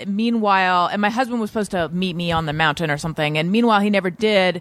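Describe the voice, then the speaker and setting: A woman's normal speaking voice in an American accent, medium pitch and ordinary pitch variation. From Orange County, California. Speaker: podcast host and author, guest. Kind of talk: casual chat.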